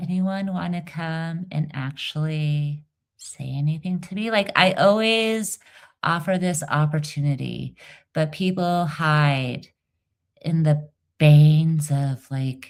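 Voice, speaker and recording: A woman speaks in a very deep, low voice. Her pace is very slow. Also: ordinary pitch variation. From Iran. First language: not English (English is third language). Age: 40s. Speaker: livestreamer and dialect coach. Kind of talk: casual livestream chat. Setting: live stream with viewers. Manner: animated.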